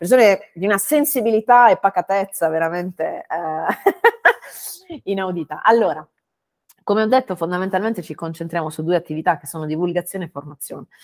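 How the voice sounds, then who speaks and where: Speaking at a fairly quick pace and medium pitch, a woman uses lively intonation with big swings in loudness. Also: dry, close sound with no echo. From Bari, southern Italy. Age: 30s. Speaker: growth consultant and startup mentor. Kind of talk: interview conversation. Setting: video call from home. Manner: halting, many fillers.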